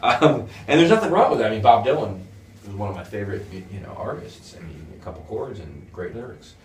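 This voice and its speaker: With an American accent and lively intonation, someone speaks very fast with big swings in loudness, over noticeable background noise and audible room echo. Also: man, fairly low pitch for a man. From US Northeast, near New York City. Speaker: guitar school founder. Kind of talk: interview. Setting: guitar school.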